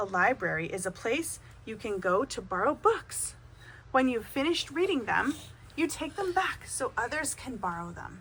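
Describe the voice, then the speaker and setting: A woman puts on a high-pitched character voice whose pitch swings very widely. She keeps a moderate pace over clear background noise. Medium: read story.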